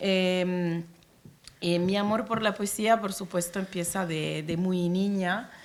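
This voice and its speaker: Monotone, flat intonation carries speech that proceeds at a very slow pace. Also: woman, medium pitch for a woman. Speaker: poet and diplomat. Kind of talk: panel talk. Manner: hesitant, many fillers.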